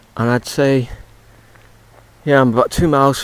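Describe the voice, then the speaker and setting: This man talks at a very fast pace. He has an English accent. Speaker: touring cyclist. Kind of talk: audio diary. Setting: outdoors. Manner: halting; soft-spoken.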